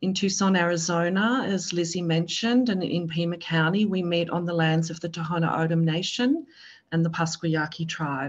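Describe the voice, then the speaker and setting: The voice has a strong Australian accent and is somewhat breathy. It keeps a moderate pace with ordinary pitch variation. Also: woman, fairly low pitch for a woman. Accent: Australian, thick. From Australia, Melbourne. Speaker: public health presenter. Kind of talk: webinar presentation.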